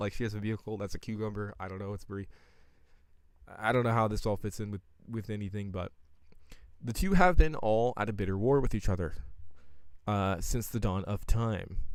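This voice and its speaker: A man talks at a fairly quick pace with ordinary pitch variation, long and frequent pauses, and big swings in loudness. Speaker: streamer. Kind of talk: live stream commentary. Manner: fast; halting, stumbling over words.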